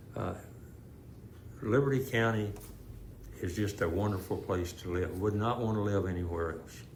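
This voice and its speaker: Fairly low in pitch, a man with an American accent speaks at a moderate pace. He leaves long, frequent pauses, and audible room echo is present. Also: ordinary pitch variation. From Houston area, Texas. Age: 80s+. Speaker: retired police officer. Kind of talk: interview.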